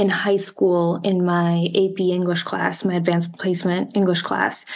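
At a moderate pace, a woman speaks at medium pitch. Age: 30s. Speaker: psychology doctoral student and oracle deck creator. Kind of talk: interview. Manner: hesitant, many filler words.

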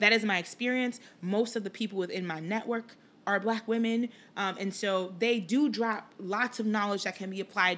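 A woman speaks at a medium pitch in an unremarkable speaking voice. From Liberia, moved to Chicago at eight. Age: 30s. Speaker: podcast host, sports marketing executive. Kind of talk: casual monologue. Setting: home recording in apartment.

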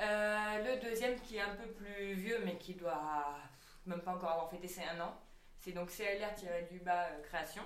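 A woman's medium-pitched voice at a fairly slow pace with ordinary pitch variation, audible room echo, and noticeable background noise. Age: 20s. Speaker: stage actress and director. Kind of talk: casual chat.

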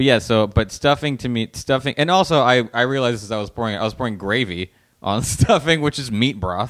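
With an American accent and a normal speaking voice, a man talks at a fairly quick pace and medium pitch, using ordinary pitch variation and hardly any pauses, on a very clean recording with a silent background. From Los Angeles, US. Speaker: comedian. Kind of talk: casual chat.

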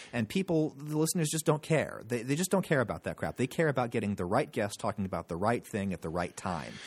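Speaking at a very fast pace with hardly any pauses, a man with an American accent has a medium pitch, very wide pitch swings and vocal fry, his sound dry and close with no echo on a very clean recording with a silent background. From Pennsylvania. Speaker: podcast host and journalism teacher. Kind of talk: casual interview. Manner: halting, with many repetitions.

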